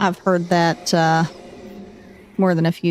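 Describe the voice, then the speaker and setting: A woman talks in a strong Southern US accent with a relaxed tone and monotone, flat intonation. Noticeable background noise can be heard. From US South, North Carolina. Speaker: gaming streamer. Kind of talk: casual chat.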